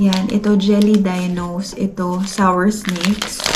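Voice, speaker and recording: Soft-spoken words come at a very slow pace in a monotone, flat intonation. Audible room echo and noticeable background noise fill the recording. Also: woman. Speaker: family vlogger. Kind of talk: casual vlog talk. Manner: soft-spoken, lowered voice.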